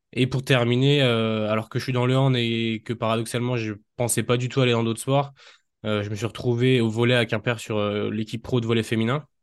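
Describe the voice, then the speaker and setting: Against a quiet background, the speaker talks at a fairly quick pace in a flat monotone. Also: man. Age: 20s. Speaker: strength and conditioning coach. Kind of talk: casual interview.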